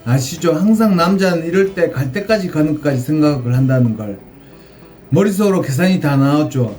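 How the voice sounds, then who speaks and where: With audible room echo, a man's fairly high voice moves at a moderate pace with lively intonation. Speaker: vlogger. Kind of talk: storytelling.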